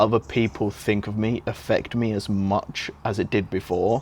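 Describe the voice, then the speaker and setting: A man speaks in a British accent at a fairly slow pace. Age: young. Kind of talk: interview answer.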